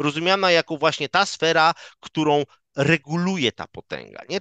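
The man's bright, sharp tone comes through dry with no echo against a quiet background as he talks at a fairly quick pace. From Poland, Szczecin; Poland. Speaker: political scientist, lecturer; guest. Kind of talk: academic interview; interview answer. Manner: hesitant, frequent fillers and repetitions. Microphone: headset.

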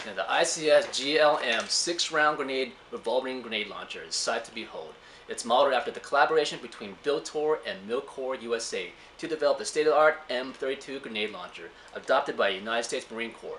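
A man speaks at a fairly quick pace with ordinary pitch variation and big swings in loudness. Light background noise is audible. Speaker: presenter. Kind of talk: product review presentation. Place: factory.

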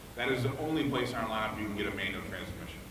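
Noticeable background noise sits under the voice, along with audible room echo. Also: man. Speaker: automotive product planner. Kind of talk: product presentation. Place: hall. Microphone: camera far.

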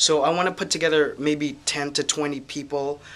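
The intonation is monotone and flat. The pace is moderate. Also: man. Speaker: educator. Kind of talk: casual vlog update. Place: office. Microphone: phone near.

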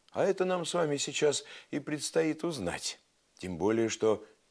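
A man speaks somewhat slowly with little sound behind him. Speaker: TV storyteller host. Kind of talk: storytelling to children. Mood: warm, playful, expressive. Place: studio. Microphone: lapel.

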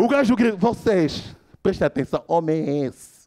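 Speaking at a moderate pace, a man with a high pitch moves through very wide pitch swings. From Angola. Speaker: stand-up comedian. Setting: stage with live audience. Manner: animated, switching into shouted character lines. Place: stage. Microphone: handheld.

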